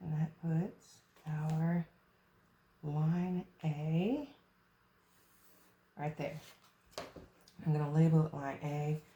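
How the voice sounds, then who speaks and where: Very slow speech is interrupted again and again by long pauses. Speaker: math tutor. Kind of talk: tutorial.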